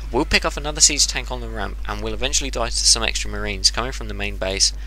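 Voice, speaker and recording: Amid noticeable background noise, a man talks at a very fast pace with a very deep, low pitch and big swings in loudness. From England. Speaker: game commentator. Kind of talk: replay commentary. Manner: animated.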